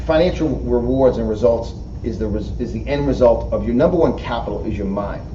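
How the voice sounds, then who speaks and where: Speaking fairly quickly, a man talks in a New York accent. There is noticeable background noise and audible room echo. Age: 50s. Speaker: motivational speaker and author. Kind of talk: interview. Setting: studio. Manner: animated.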